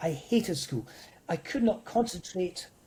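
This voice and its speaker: A man with a Scottish accent, high pitch and a dark, mellow tone. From Scotland. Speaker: motivational speaker. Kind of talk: interview.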